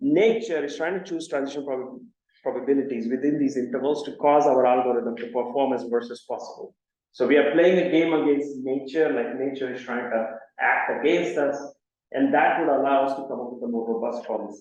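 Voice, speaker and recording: With a Marathi accent, a man talks at a fairly quick pace in a fairly high pitch. His pitch variation is ordinary, and audible room echo surrounds him. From India, Mumbai. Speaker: computer science professor. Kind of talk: lecture. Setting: seminar with audience.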